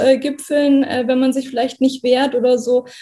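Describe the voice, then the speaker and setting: This woman speaks at a high pitch with a dark, mellow tone. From Germany, Kassel (Hesse). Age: 30s. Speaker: trainee teacher. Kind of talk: testimony.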